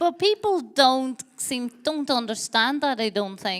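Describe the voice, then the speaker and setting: A woman's speech, showing ordinary pitch variation, is captured on a very clean recording with a silent background. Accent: Donegal. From Ireland, County Donegal. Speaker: theatre director. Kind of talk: on-stage interview. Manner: halting.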